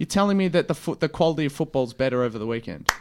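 An Australian man speaks at a fairly high pitch. The recording is very clean, with a silent background. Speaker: podcast host, footy fan. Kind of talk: casual chat.

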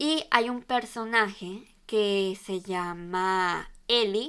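The speech has fairly even intonation, on a very clean recording with a silent background. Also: woman. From Venezuela. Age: 20s. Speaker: fashion podcaster. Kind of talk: casual solo monologue.

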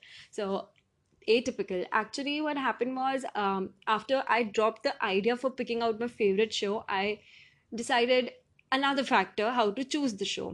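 A woman's unremarkable speaking voice, fairly high in pitch, at a moderate pace with ordinary pitch variation, over a quiet background. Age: 20s. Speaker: podcaster, college student. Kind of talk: solo podcast monologue, TV show review. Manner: casual, chatty with fillers.

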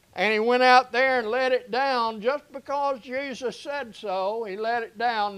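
Over a quiet background, a man with an American accent and an extremely high pitch talks at a very slow pace with ordinary pitch variation. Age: 70s. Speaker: pastor. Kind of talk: sermon. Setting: church.

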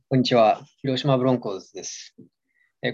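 A man with a Japanese accent at a very fast pace. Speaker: podcast co-host. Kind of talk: casual chat.

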